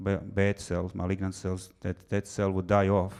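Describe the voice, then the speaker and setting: Monotone, flat intonation marks this man's speech. His pitch is very deep and low, and he has a non-native accent. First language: not English. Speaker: physician and researcher. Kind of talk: lecture.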